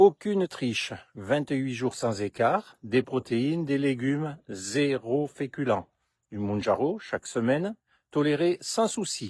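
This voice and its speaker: A man's fairly high, lively voice at a very slow pace, dry and close with no echo against a quiet background. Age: 60s. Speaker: health vlogger. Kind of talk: vlog monologue.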